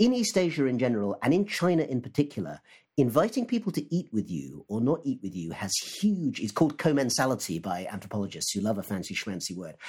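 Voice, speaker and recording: A man with a British accent and a medium pitch speaks at a very fast pace with hardly any pauses, very wide pitch swings and vocal fry, in a very clean recording with a silent background. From UK. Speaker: history professor. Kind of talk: casual panel discussion.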